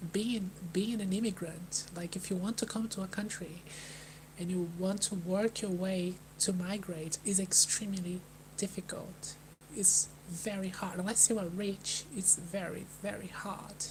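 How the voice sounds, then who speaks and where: A soft-spoken woman with a Brazilian accent, medium pitch and monotone, flat intonation, at a fairly slow pace over noticeable background noise. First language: Portuguese. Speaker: vlogger. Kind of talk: live stream talk. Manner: halting.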